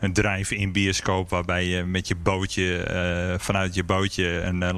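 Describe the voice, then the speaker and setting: A man's very deep, low voice, monotone and flat, at a very slow pace. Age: 40s. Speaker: beer café owner and brewer. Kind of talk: interview. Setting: empty restaurant in a fort.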